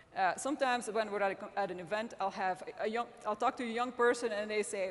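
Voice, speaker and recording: A woman talks at a very fast pace with a fairly high pitch. Noticeable background noise runs under her voice. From Belgium. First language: not English (English is third language). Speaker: magazine editor and publisher. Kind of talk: conference speech. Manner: halting, with frequent repetitions.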